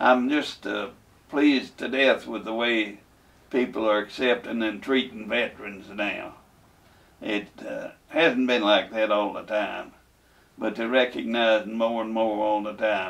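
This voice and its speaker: This man has a Kentucky accent and a medium pitch. He speaks at a fairly slow pace with fairly even intonation. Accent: southern US, rural Kentucky. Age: 80s+. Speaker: war veteran. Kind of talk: interview testimony. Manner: halting, hesitant.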